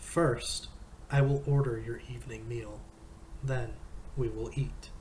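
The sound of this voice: An unforced reading voice is what this speaker uses.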